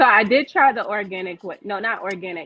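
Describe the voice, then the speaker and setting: A woman at a medium pitch with an American accent, lively intonation and a fairly quick pace. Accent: Virginia accent with some New York. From Virginia. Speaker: business owner. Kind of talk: casual interview chat.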